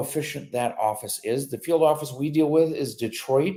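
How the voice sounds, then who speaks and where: The voice has a dark, mellow tone and a Michigan accent. It moves at a moderate pace with ordinary pitch variation. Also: man. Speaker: immigration lawyer. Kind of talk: live Q&A stream. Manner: casual, with many fillers.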